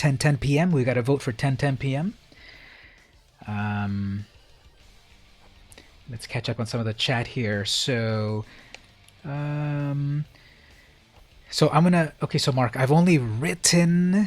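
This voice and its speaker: Music plays in the background as the speaker goes at a fairly slow pace with long, frequent pauses. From Southern California. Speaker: streamer reading chat during a card game. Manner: casual, chatty.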